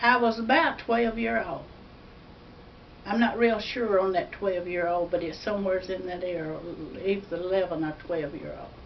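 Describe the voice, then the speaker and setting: A woman with an Alabama accent talks at a moderate pace and medium pitch, her lively intonation and big swings in loudness heard with audible room echo and noticeable background noise. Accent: Southern US (Alabama). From US South, northern Alabama. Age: 80s+. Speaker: elderly churchgoer. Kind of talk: personal testimony. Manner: halting.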